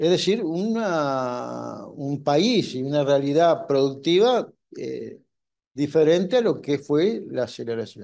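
The tone is dark and mellow, with lively intonation. The pace is very slow. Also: man, fairly high pitch for a man. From Uruguay. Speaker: trade union institute director. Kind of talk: panel talk. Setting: university hall with audience. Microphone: headset.

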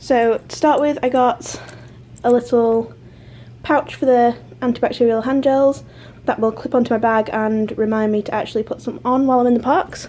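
Fairly even intonation from a woman at a moderate pace. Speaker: travel vlogger. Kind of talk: casual vlog chat. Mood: cheerful. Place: home room. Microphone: phone near.

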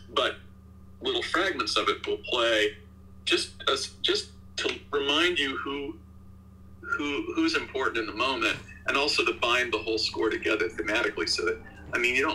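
A man speaks at a moderate pace. He talks with an American accent. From US. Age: 60s. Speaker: video game composer. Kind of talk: interview. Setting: video call. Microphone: video call.

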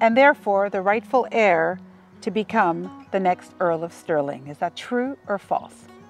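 A woman speaks fairly slowly with lively intonation. The sound is dry with no echo, and faint music plays in the background. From Canada. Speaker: author; quiz host. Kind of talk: casual conversation. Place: open country.

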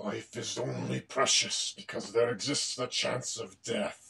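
A man growls through a put-on character voice at a medium pitch and moderate pace. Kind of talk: dramatic, menacing. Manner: growling.

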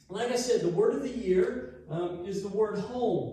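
Strong room echo surrounds a man as he speaks. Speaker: pastor teaching. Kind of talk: sermon. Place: church.

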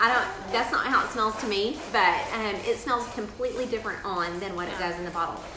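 Clear background noise and audible room echo surround a woman talking at a fairly quick pace with ordinary pitch variation. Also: medium pitch for a woman.

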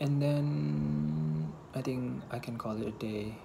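A man's fairly low voice over noticeable background noise. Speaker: vlogger. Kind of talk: casual vlog chat. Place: home room. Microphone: earbuds.

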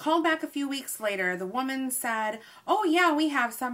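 A woman speaks at a moderate pace in a high voice with very wide pitch swings. Her tone is bright and sharp. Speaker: haul vlogger. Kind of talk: casual vlog chat. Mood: annoyed, storytelling. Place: home room. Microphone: webcam.

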